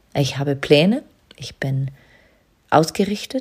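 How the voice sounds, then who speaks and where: The speaker has a calm, dark, mellow tone and speaks at a very slow pace. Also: woman. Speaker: business coach and podcast host. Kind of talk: spiritual monologue. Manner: slow, calm, trance-inducing.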